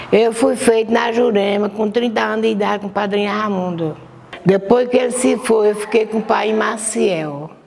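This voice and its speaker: Amid noticeable background noise, a woman speaks at a fairly high pitch with fairly even intonation. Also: moderate pace. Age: 70s. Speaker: religious community elder. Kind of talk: testimony.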